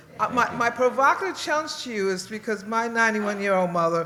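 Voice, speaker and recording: Someone speaks with an American accent. There is noticeable background noise. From Washington DC area. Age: 70s. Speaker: audience member, retired professor. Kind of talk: audience question. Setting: stage with audience.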